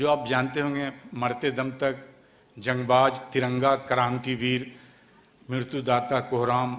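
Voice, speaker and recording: A man talks at a medium pitch with flat, monotone intonation. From Kolkata, West Bengal, India. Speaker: film actor. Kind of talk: speech at an event.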